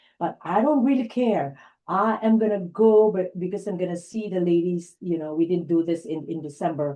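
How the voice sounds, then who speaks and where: Her intonation lively, a woman speaks at a moderate pace with a fairly low pitch and a dark, mellow tone. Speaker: life coach and presenter. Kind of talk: online workshop chat.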